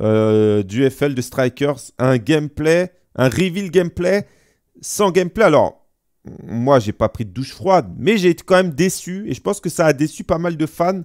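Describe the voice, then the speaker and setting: Delivery comes at a very slow pace with very wide pitch swings. The background is quiet. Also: man. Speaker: gaming streamer and debate show host. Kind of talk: casual live-stream debate. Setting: live stream. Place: home room.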